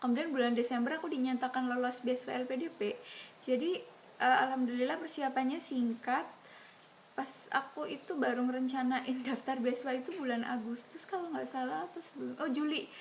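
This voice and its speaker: A woman's high-pitched voice carries ordinary pitch variation and moves at a fairly quick pace. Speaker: YouTuber, scholarship recipient. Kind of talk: casual Q&A vlog. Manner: casual, with hesitations.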